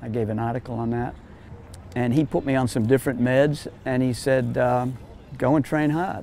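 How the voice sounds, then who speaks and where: A man with an American accent, a dark, mellow tone and fairly even intonation, at a moderate pace, dry with no echo, over light background noise. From USA. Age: 70s. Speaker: triathlon coach and athlete. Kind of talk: interview answer. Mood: earnest, reflective. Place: street. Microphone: lapel.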